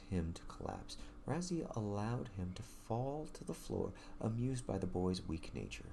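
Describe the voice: A plain reading aloud of some text.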